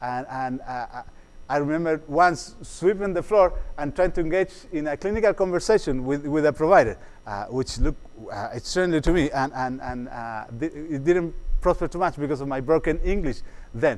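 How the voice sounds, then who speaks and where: A fairly quick, fairly high-pitched male voice with a Spanish accent and ordinary pitch variation. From Chile. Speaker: psychologist. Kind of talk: workshop lecture. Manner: halting, many fillers and repetitions.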